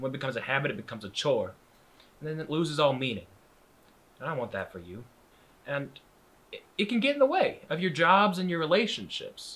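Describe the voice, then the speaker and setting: Speaking at a very fast pace, a man swings his pitch very widely, with vocal fry and a bright, sharp tone. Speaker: actor in a scene. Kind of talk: scripted drama dialogue, earnest advice. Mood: earnest, concerned.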